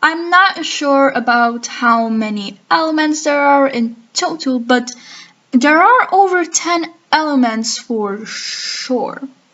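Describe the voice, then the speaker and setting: A woman's high-pitched voice, very slow in pace, with lively intonation. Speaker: gaming commentary youtuber. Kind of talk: commentary video.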